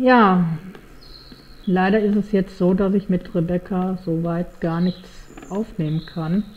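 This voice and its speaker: Somewhat breathy and medium in pitch, a woman speaks with fairly even intonation and long, frequent pauses. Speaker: gaming YouTuber. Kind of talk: let's play commentary. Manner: halting, many fillers.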